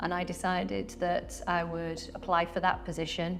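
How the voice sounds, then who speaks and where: A woman in a British accent, fairly low and monotone, at a moderate pace with audible room echo. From UK. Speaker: real estate agent. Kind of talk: interview.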